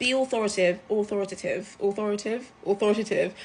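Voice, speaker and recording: An animated woman with a British accent, fairly high-pitched and somewhat breathy, at a moderate pace. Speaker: travel content creator. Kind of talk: casual storytime vlog.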